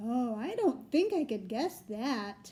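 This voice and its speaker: In a put-on character voice, a woman talks fairly slowly at a high pitch. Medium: read story. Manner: gentle, warm.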